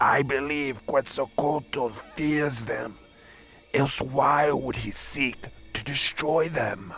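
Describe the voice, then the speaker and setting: Using a put-on character voice at a fairly high pitch, a man speaks at a very slow pace with clear music in the background. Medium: machinima. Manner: solemn, formal.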